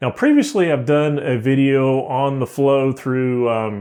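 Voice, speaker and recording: A man talks at a fairly high pitch with ordinary pitch variation. The background is quiet. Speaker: software tutorial youtuber; software trainer. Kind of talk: tutorial. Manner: fast; casual. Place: home room. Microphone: studio mic.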